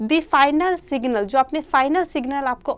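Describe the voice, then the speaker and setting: A woman speaks at a fairly slow pace. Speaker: online exam-prep teacher. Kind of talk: live online lecture. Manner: soft-spoken. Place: classroom.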